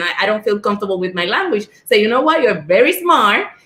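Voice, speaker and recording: A woman talks in a strong Spanish accent. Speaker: school board member and former teacher. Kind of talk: panel discussion.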